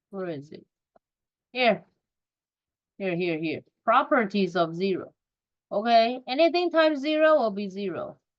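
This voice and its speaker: A woman with a non-native accent and a fairly high voice speaks at a moderate pace, with very wide pitch swings, big swings in loudness, and long, frequent pauses. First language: not English. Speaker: math teacher. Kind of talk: recorded lesson.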